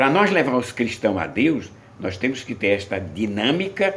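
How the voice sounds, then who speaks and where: Audible room echo surrounds a man speaking at a fairly slow pace. His medium pitch swings very widely. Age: 70s. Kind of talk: sermon.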